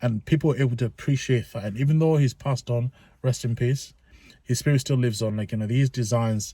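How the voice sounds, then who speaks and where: On a very clean recording with a silent background, a man talks at a very fast pace in a medium pitch, his tone dark, mellow and somewhat breathy, his intonation fairly even. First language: not English. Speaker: sneaker reviewer. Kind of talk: product review. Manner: casual, informal; halting with fillers.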